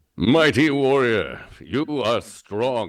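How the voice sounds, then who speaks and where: Using a put-on character voice, a man delivers his lines in a dramatic tone at medium pitch. The recording is very clean, with a silent background. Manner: dramatic, booming, comic.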